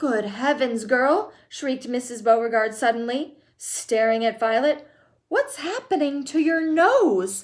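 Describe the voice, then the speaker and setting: A woman's put-on character voice, shrill and high-pitched, with lively intonation at a moderate pace. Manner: shrieking, alarmed.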